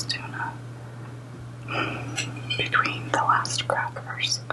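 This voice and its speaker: Whispered words come with long, frequent pauses against noticeable background noise. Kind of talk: ASMR eating and whispered talk to camera.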